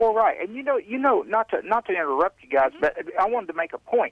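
This man's high-pitched voice moves through very wide pitch swings. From Oklahoma. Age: 40s. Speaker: caller. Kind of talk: casual chat. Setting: phone call.

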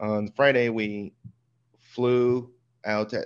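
The background is quiet. A man talks at a medium pitch with ordinary pitch variation. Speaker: podcast co-host. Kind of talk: casual chat. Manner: low energy; halting, many fillers.

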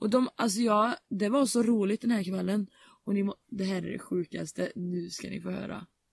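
Somewhat breathy, a woman speaks at a medium pitch and moderate pace with fairly even intonation, the sound dry and close with no echo. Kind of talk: casual chat.

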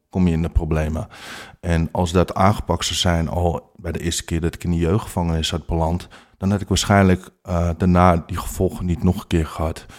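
On a very clean recording with a silent background, the speech moves at a fairly quick pace with monotone, flat intonation. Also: man, very deep, low pitch for a man. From Amsterdam, Netherlands. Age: 40s. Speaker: life coach with lived experience of infidelity. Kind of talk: interview testimony. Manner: hesitant, many filler sounds.

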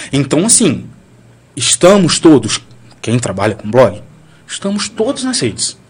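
His pitch swinging very widely, a man speaks in a somewhat breathy voice. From Brazil, Bahia (Valença). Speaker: blogger. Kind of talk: casual chat. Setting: studio.

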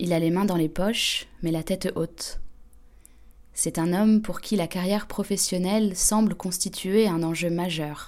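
A woman speaks in a normal speaking voice at medium pitch. Her intonation is fairly even. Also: fairly slow pace. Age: young. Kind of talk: scripted narration.

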